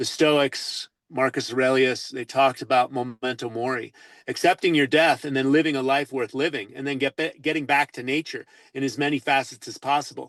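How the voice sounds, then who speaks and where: Against a quiet background, a man with a plain, everyday voice speaks at medium pitch and moderate pace, with fairly even intonation and a dry, close sound with no echo. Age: 60s. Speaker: natural health advocate. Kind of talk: interview. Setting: radio show.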